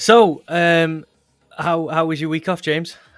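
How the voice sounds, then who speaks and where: A man's fairly high voice, monotone and flat, at a moderate pace with music in the background. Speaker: podcast host.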